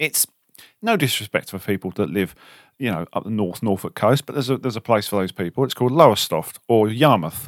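In a southern English accent, a man talks at a very fast pace and a fairly low pitch, with lively intonation and a playful tone. The recording is very clean with a silent background, and the sound is dry and close with no echo. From southern England. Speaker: car detailing podcast co-host. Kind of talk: casual chat. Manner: joking, playful.

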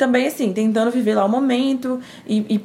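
A woman with a slight mineiro accent and a dark, mellow tone talks at a moderate pace, using ordinary pitch variation. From Minas Gerais, Brazil (Timóteo, interior). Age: 20s. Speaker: communication graduate, churchgoer. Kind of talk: casual chat.

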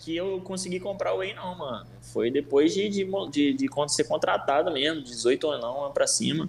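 A man with a normal speaking voice, a fairly high pitch, ordinary pitch variation and a moderate pace. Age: 20s. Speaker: nutritionist. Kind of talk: casual chat.

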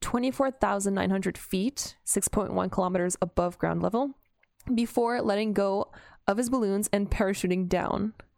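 A woman with a Canadian accent speaks at a moderate pace in an unremarkable speaking voice, with a medium pitch. Her intonation is fairly even, her loudness very even, and the sound dry and close with no echo. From Canada. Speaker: TikTok creator. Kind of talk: casual chat. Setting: remote call. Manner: giggly.

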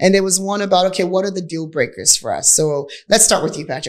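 Here, a woman has an unremarkable speaking voice at a medium pitch. She talks at a moderate pace. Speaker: podcast host and real estate entrepreneur. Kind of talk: casual conversational podcast.

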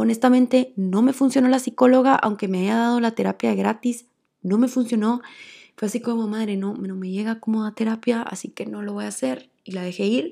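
Speaking at a fairly quick pace with a Guatemalan accent, a woman has a fairly high pitch, ordinary pitch variation and a dark, mellow tone. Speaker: podcast host. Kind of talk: solo monologue, personal story. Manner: fast when excited.

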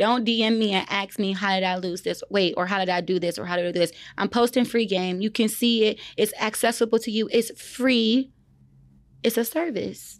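A woman with an American accent and a plain, everyday voice speaks at a moderate pace. Her pitch is fairly high with ordinary variation, on a very clean recording with a silent background. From another US region, far from Texas. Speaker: podcast co-host and realtor. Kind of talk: casual chat.

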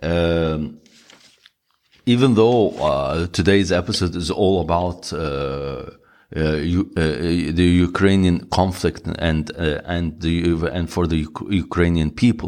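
On a very clean recording with a silent background, a man with a very deep, low pitch talks at a very slow pace with ordinary pitch variation. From Egypt. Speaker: wellness podcast host. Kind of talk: monologue. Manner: halting.

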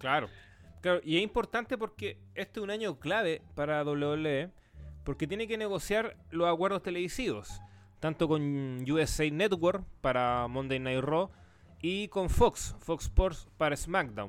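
A man with a Chilean accent talks at a fairly slow pace in a fairly high voice, his pitch swinging very widely. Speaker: wrestling podcast host. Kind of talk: casual chat.

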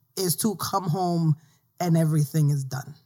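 A woman speaks with a New York accent at a fairly slow pace. The recording is very clean, with a silent background. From New York City, South Bronx. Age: 30s. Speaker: author and blogger. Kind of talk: casual chat.

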